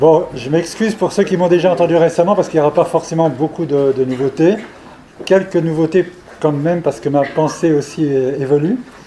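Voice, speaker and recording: Noticeable background noise sits under speech that moves at a fairly quick pace with ordinary pitch variation. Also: man, fairly high pitch for a man. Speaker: professor and evolutionary biologist. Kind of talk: scientific seminar lecture. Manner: hesitant, many fillers and repetitions.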